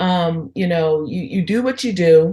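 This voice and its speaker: Against a quiet background, a woman with a fairly low pitch talks with lively intonation. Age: 60s. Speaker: entrepreneur, women's network founder. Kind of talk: podcast interview.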